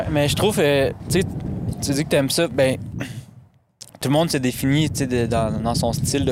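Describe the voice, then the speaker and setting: A man at a fairly slow pace with very even loudness, in a room with audible echo. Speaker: podcast host. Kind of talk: casual chat. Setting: studio.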